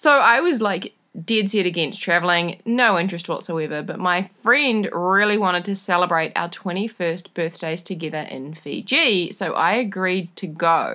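In a New Zealand accent, a woman speaks at a moderate pace and medium pitch, her bright, sharp tone carrying ordinary pitch variation with hardly any pauses. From New Zealand, rural. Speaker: podcast host, travel community founder. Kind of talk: casual solo podcast monologue. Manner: animated.

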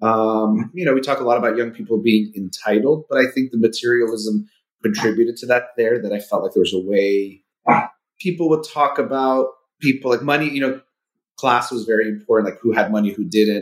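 A man with a Californian accent talks at a fairly quick pace. His pitch is medium. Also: ordinary pitch variation. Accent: general American, Californian. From US, Southern California. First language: Persian (Farsi). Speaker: clinical psychologist. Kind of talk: casual interview.

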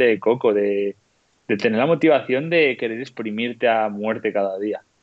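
With a plain, everyday voice, a man speaks at a moderate pace with ordinary pitch variation. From Spain, León. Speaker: professional trail runner. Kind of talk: casual chat.

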